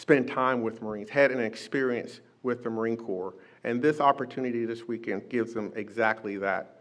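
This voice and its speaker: The background is quiet. A man talks with ordinary pitch variation. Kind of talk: public speech. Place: hall. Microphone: podium.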